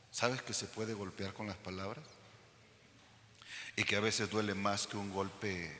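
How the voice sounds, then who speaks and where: Noticeable background noise and audible room echo. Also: man. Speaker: pastor. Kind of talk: sermon. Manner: loud; animated.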